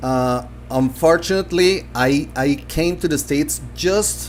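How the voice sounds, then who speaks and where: A man speaks with a Spanish accent. Noticeable background noise can be heard. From Colombia. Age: 50s. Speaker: language teacher. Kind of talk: live stream talk. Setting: live stream. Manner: halting, many fillers.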